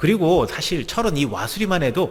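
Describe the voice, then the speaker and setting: Vocal fry marks a man's speech in a very clean recording with a silent background. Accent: slight Gangwon. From Gangwon province, Korea (Gangneung, Chuncheon). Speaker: pastor. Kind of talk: sermon.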